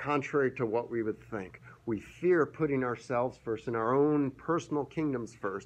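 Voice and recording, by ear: With ordinary variation in pitch, a natural voice reads the text aloud.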